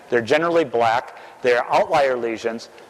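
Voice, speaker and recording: Lively intonation from a man at a fairly quick pace, with noticeable background noise. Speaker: dermatologist lecturer. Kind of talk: lecture. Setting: stage with audience. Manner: fast; halting.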